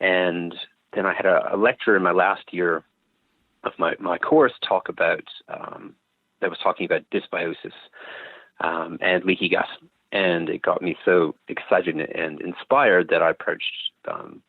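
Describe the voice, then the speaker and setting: With a slight Canadian accent, a man talks at a moderate pace and leaves long, frequent pauses. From Canada, Calgary. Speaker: naturopath and microbiota researcher. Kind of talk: interview. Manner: hesitant, many ums.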